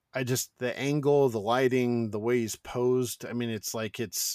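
A plain, everyday voice at a moderate pace with fairly even intonation comes through a very clean recording, silent background, with a dry, close sound with no echo. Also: man. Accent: American. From Northern California, North Bay. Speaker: podcast host. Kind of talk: casual interview chat.

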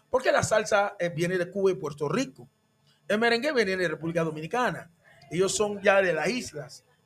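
This man talks at a moderate pace in a high voice with lively intonation. Music plays in the background. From Panama, former Canal Zone. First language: English (speaking Spanish). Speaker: tropical urban music singer. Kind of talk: casual interview chat. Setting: radio studio.

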